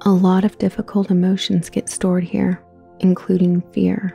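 Music plays in the background as a woman speaks at a medium pitch with fairly even intonation. The sound is dry and close, with no echo. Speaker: meditation guide. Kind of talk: guided meditation. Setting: soft ambient background music. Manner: soft, calming.

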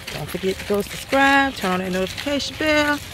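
At a moderate pace, a woman speaks with a dry sound and no echo, over noticeable background noise. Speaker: vlogger. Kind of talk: casual vlog chat. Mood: cheerful, upbeat. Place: forest. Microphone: phone near.

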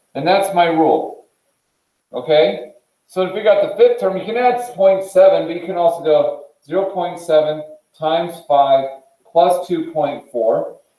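A man's high-pitched voice at a very slow pace, with ordinary pitch variation, big swings in loudness, audible room echo and a quiet background. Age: 40s. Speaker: high school math teacher. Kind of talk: classroom lecture. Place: classroom. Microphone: video call.

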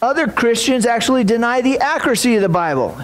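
Talking fast with lively intonation, a man speaks at an extremely high pitch while the room echoes audibly around him.

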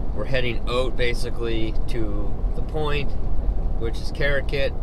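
Loud background noise fills this dry recording with no echo, where speech moves at a fairly slow pace. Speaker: driver vlogger. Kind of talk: casual vlog chat. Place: car. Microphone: camera far.

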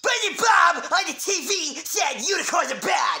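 A cartoonish character voice sits at an extremely high pitch. The pace is moderate. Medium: puppet. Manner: frantic, excitable.

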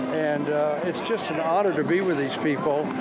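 A man's moderately paced speech comes with music in the background. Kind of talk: interview answer. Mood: warm, grateful, emotional. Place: street. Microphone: handheld.

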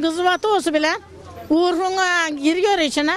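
A woman's extremely high voice at a fairly slow pace. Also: dry sound with no echo. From Turkey, Denizli (Teke region, Yörük); Denizli, Turkey. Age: 70s. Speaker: folk musician. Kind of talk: interview. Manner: casual. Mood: earnest, wistful about her craft. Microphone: handheld.

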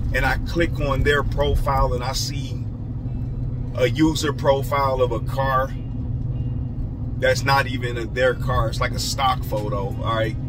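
Over noticeable background noise, the speech moves at a fairly slow pace with long, frequent pauses. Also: man. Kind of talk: casual vlog chat. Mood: mildly annoyed, advising. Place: car. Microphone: phone near.

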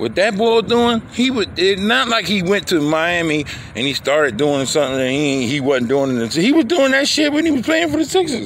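Over noticeable background noise, a man with a high voice speaks at a moderate pace, his pitch swinging very widely. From Philadelphia, US. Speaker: sports vlogger. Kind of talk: casual monologue. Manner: halting.

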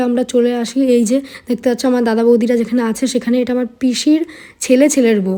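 A woman's high-pitched voice has a dark, mellow tone and fairly even intonation. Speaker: vlogger. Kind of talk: travel vlog narration. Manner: chatty, conversational.

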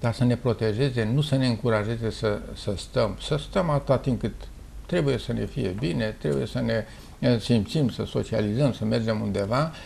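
The voice has vocal fry, with light background noise behind it. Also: man, ordinary pitch variation. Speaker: dermatologist, professor. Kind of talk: interview answer. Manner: slow, emphatic. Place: office. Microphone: lapel.

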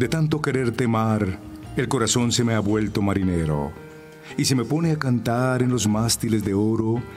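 Music can be heard in the background. A man speaks over it with lively intonation. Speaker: radio announcer. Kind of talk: poetry reading.

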